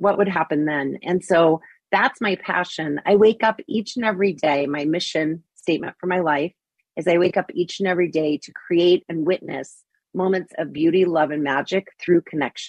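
A woman with a fairly low pitch speaks at a moderate pace with ordinary pitch variation. The sound is dry and close, with no echo. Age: 50s. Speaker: LGBTQ elder advocate. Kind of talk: interview.

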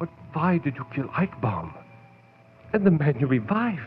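Putting on a character voice, a man speaks at a fairly slow pace in a fairly high pitch with big pitch swings and a slightly husky edge.

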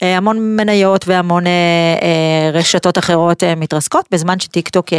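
An ordinary speaking voice from a woman, fairly low in pitch, moderately paced, with ordinary pitch variation and a dry, close sound with no echo. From Israel, Pardes Hanna. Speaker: podcast host. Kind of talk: interview. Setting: studio.

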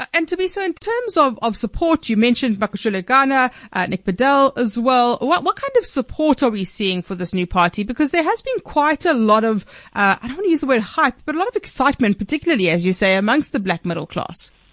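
In a South African accent, a woman speaks very fast at a high pitch with very wide pitch swings, the sound dry and close with no echo over a quiet background. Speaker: radio news host. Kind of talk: news interview show.

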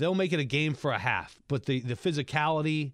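A plain, everyday voice from a man, fairly high in pitch, at a fairly quick pace with fairly even intonation, on a very clean recording with a silent background. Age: 40s. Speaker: sports radio host. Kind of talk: sports talk radio.

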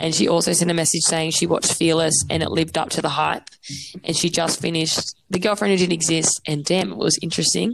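In an Australian accent, a woman talks at a very fast pace with very even loudness. Her voice is fairly low, with ordinary pitch variation. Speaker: podcast co-host. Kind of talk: casual chat. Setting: remote call.

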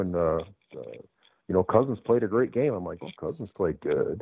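The male speaker rushes along at a very fast pace. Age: 50s. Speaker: former pro football player. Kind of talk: interview.

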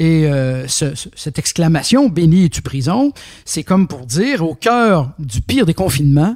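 A man with a high-pitched voice talks very slowly and with lively intonation, recorded dry and close with no echo. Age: 60s. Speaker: philosopher and philosophy teacher. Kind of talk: interview. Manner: halting, with frequent fillers.

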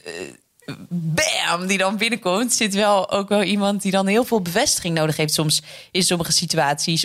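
A woman's ordinary speaking voice, medium in pitch, with ordinary pitch variation. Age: 20s. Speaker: radio presenter and author. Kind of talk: interview.

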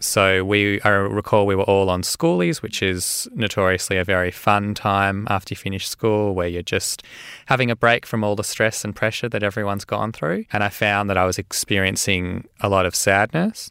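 A man with an Australian accent, fairly low in pitch, with a bright, sharp tone, fairly even intonation and a moderate pace with hardly any pauses. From Australia, Melbourne (Caulfield). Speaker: medical doctor and mental health advocate. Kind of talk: interview testimony.

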